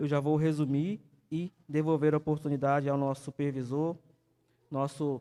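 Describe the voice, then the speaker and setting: A man with a dark, mellow tone speaks at a moderate pace with a fairly high pitch and monotone, flat intonation. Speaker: evangelist teaching Sunday school. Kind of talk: sermon-style Bible lesson. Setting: church with live stream.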